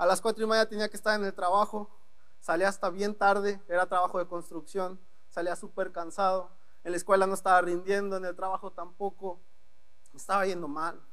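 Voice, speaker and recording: A man speaks at a fairly quick pace in a high voice. Room echo is audible around him. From northeastern Mexico, Ciudad Victoria, Tamaulipas. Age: 20s. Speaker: young preacher. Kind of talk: sermon. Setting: church with congregation. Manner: animated.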